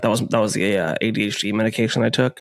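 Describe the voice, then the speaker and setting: In a very clean recording with a silent background, a man with a normal speaking voice and a fairly low pitch talks at a moderate pace. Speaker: podcast host, voice actor and metalcore singer. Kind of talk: casual chat.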